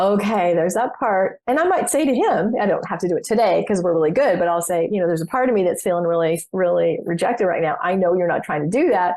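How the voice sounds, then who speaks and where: Speaking at a very fast pace with hardly any pauses, a woman keeps her loudness very even, her medium-pitched voice carrying ordinary pitch variation. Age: 60s. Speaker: business coach and former psychotherapist. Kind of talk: casual interview chat.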